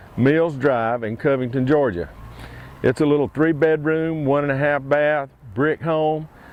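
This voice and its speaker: This man has a plain, everyday voice at a fairly high pitch. He keeps a moderate pace with ordinary pitch variation. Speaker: auctioneer doing a property tour. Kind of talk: casual talk to camera, property walkthrough.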